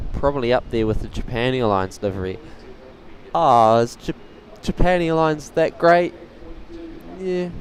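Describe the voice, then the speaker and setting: A man's medium-pitched voice swings very widely in pitch, moving at a moderate pace with long, frequent pauses. Background noise is noticeable. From New Zealand, Tauranga. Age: young. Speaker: plane spotting live streamer. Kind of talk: live stream commentary, chatting with viewers. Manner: casual, relaxed.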